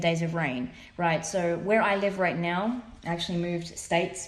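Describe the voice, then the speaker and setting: Audible room echo carries a woman's voice as she speaks at a moderate pace. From Australia. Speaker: tarot reader. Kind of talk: tarot reading monologue. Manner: casual, filler-heavy.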